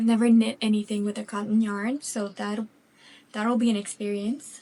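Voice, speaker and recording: With a slight French Canadian accent, a woman speaks at a fairly high pitch in a flat, monotone way. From Quebec, French Canada. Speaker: craft vlogger. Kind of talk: casual chat. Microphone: new microphone with sound issues.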